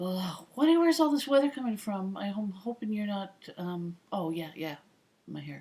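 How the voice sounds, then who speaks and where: This woman has a medium-pitched, dark, mellow voice that is somewhat breathy. She moves at a moderate pace with very wide pitch swings. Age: 50s. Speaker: retired air traffic controller. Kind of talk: casual talk to camera.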